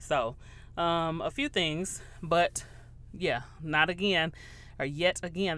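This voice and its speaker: Loud and animated, a woman with an American accent speaks in a fairly low pitch with ordinary pitch variation. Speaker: podcast host. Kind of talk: casual solo chat.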